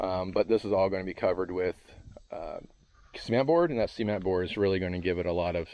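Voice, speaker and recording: A man with a very deep, low voice talks at a fairly quick pace with fairly even intonation. The sound is dry with no echo. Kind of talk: tutorial. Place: garden. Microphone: helmet.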